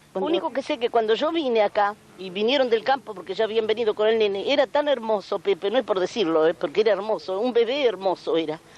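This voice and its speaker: A woman in a rural Rioplatense accent talks at a very fast pace, her fairly high voice moving in lively intonation. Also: hardly any pauses. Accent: rural Argentine Rioplatense Spanish. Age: 70s. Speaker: aunt of a folk singer. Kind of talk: interview. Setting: at her family home. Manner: halting.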